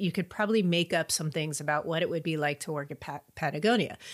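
This woman has a fairly low-pitched voice with ordinary pitch variation and a moderate pace. The recording is very clean, with a silent background. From California. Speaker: career coach and speaker. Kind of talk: podcast interview.

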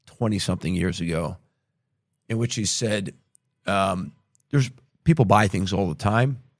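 A man with an American accent, fairly low in pitch and at a fairly quick pace, in a very clean recording with a silent background. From United States. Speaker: podcast host and investor. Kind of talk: interview conversation.

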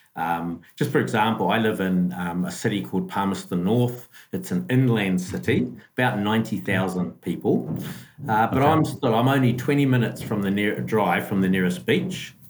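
A man with a New Zealand accent speaks at a moderate pace and a fairly low pitch, with vocal fry. His pitch swings very widely while his loudness stays very even. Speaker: school business manager. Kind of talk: casual interview. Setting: video call across time zones.

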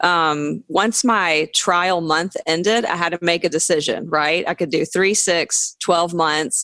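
A woman with a Southern US accent speaks at a fairly low pitch and a fairly slow pace, her bright, sharp tone showing ordinary pitch variation on a very clean recording with a silent background. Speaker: comedian and podcast co-host. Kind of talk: casual interview chat.

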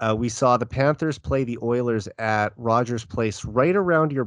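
A man with a Canadian accent speaks at a medium pitch with ordinary pitch variation in an unremarkable speaking voice. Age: 30s. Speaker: sports podcast host. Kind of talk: casual chat.

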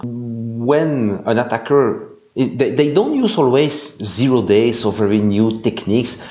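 A man with a Belgian accent speaks at a fairly slow pace and medium pitch, with ordinary pitch variation, very even loudness and hardly any pauses. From Belgium. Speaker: security analyst. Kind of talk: interview.

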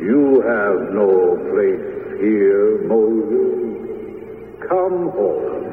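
Using a put-on character voice, a man speaks at a very slow pace with a clear echo. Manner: compelling.

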